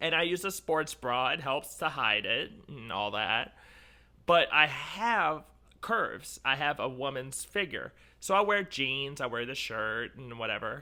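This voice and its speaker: A nasal woman's voice, very deep and low in pitch, with an animated tone, a bright, sharp tone, very wide pitch swings and a fairly slow pace, on a very clean recording with a silent background. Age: 30s. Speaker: professional wrestler. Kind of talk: casual chat.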